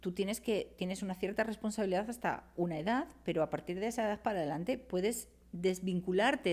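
The speaker is a woman with a medium pitch. Her words come at a fairly quick pace. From Spain. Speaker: writer and cultural manager; podcast guest. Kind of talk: casual chat. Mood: lively, humorous storytelling. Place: studio. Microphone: studio mic.

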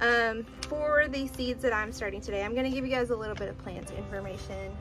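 Clear music sounds behind a woman whose pace is fairly quick. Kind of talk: casual tutorial vlog. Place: garden. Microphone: phone near.

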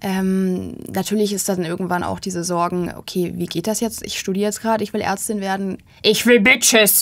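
Woman speaking at a medium pitch and moderate pace against a quiet background. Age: 20s. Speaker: medical student; guest. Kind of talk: interview. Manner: interrupted by vocal tics. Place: studio. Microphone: studio mic.

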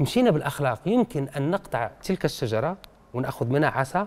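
Lively intonation marks this man's fairly slow speech. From Algeria. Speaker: writer and poet; poet. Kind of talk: radio interview. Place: studio. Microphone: lapel.

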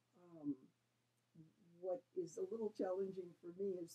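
Speaking at a very slow pace, a woman has a dark, mellow tone and ordinary pitch variation. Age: 70s. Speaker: hearing aid user. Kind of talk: customer testimonial to camera. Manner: hesitant, conversational. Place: home room. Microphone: webcam.

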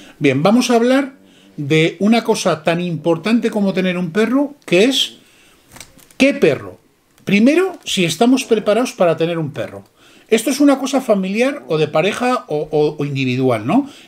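This man's voice is high-pitched and swings very widely in pitch. He talks at a moderate pace. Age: 50s. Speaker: dog breeder. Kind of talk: casual chat. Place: shop. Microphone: camera far.

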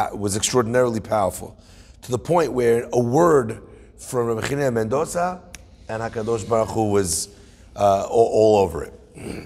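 Here a man speaks at a moderate pace. His pitch varies in an ordinary way. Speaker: religious teacher. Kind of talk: lecture. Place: meeting room. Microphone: phone near.

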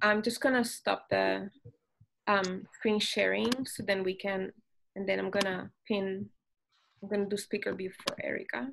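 Long, frequent pauses break up a woman's moderately paced speech over light background noise. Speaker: exhibition curator; curator moderating panel. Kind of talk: moderated panel discussion. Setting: video call. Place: home room. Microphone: video call.

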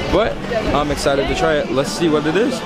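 A man speaks with ordinary pitch variation. The sound is dry with no echo, and loud music plays in the background. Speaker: travel vlogger. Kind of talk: casual vlog chat. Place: street. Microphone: phone near.

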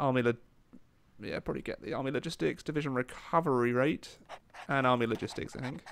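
This man talks at a very fast pace with a medium pitch and ordinary pitch variation. Long, frequent pauses break up his speech. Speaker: gaming YouTuber. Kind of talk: live gameplay commentary. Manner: casual, hesitant with frequent fillers.

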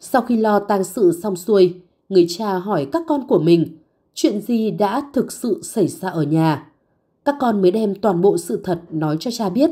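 A woman's medium-pitched voice, dark and mellow in tone, swinging very widely in pitch at a fairly slow pace, on a very clean recording with a silent background. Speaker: narrator. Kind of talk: scripted narration.

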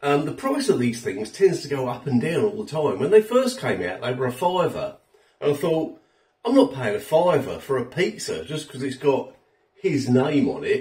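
Here a man speaks at a moderate pace. The background is quiet. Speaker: food reviewer. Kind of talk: casual food review vlog. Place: kitchen. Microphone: phone near.

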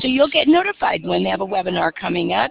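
The tone is enthusiastic. Noticeable background noise runs underneath. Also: woman. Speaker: educator presenting on professional development. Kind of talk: conference webinar presentation. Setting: video call.

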